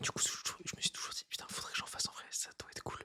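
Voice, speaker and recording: Whispering at a fairly quick pace, a man comes through dry and close with no echo. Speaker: YouTuber doing ASMR. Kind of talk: ASMR whispering monologue. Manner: casual, rambling improvisation.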